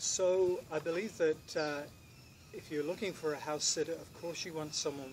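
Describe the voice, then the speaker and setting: A man keeps a moderate speed, with noticeable noise behind his voice. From Britain. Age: 50s. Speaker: professional house sitter. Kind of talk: self-introduction to camera. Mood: calm, friendly, earnest. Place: garden.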